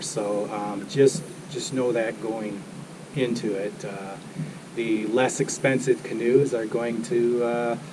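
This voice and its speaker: A man's voice swings widely in loudness. Background noise is noticeable. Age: 60s. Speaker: outdoor vlogger. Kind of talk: product review. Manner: casual, filler-heavy.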